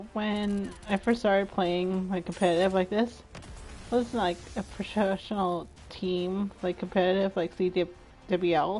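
Fairly slow speech from a woman, backed by music. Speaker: video game streamer. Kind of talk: live gaming stream chat. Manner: animated.

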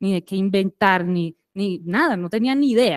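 A woman speaks with a Caribbean Colombian accent. Behind her, the background is quiet. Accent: Caribbean coastal Colombian. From Colombian Caribbean coast, Santa Marta. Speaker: businesswoman, plastics recycling company manager; guest. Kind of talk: lecture. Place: hall.

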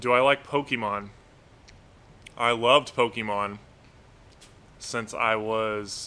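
A man at a very slow pace, bright and sharp in tone, with long, frequent pauses and fairly even intonation. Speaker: pet bird owner and live streamer; live streamer. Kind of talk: casual live stream chat. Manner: monotone. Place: home room.

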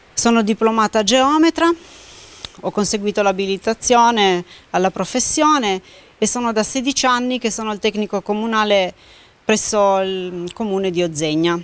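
A woman speaks with fairly high pitch, ordinary pitch variation and a moderate pace, her dry, echo-free sound broken by long, frequent pauses. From Piedmont, Italy (Canavese); Piedmont. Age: 40s. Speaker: council candidate, municipal surveyor; candidate. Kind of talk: campaign presentation. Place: hall.

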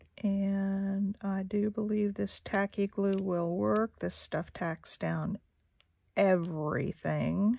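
A woman speaks very slowly in a dark, mellow tone with fairly even intonation, the sound dry with no echo. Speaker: craft artist and video maker. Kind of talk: craft tutorial chat while working. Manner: casual, hesitant; quiet when concentrating. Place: home room.

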